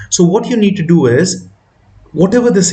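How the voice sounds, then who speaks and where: A man's voice with lively intonation and audible room echo. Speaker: math teacher. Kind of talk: tutorial. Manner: hesitant, with fillers.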